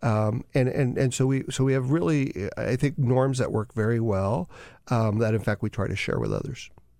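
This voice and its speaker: A man with a dark, mellow tone speaks at a medium pitch and moderate pace, with ordinary pitch variation. The recording is very clean with a silent background. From Southern California, Mexican immigrant family. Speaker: former government official. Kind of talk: casual chat. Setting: studio.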